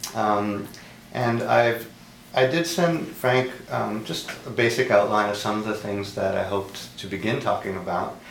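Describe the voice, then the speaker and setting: Noticeable background noise runs under the recording. A man speaks at a fairly slow pace with ordinary pitch variation. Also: fairly low pitch for a man. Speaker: interviewer. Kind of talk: interview introduction.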